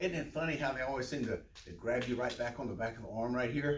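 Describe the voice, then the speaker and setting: The speaker talks at a very fast pace in a somewhat breathy voice with ordinary pitch variation. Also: man. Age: 70s. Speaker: fitness instructor. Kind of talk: tutorial. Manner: casual.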